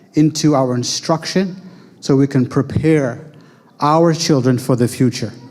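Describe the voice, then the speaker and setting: The voice has a dark, mellow tone and an American accent. Its pitch varies in an ordinary way. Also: man. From United States. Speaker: Islamic school founder and educator. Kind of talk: talk presenting school programs.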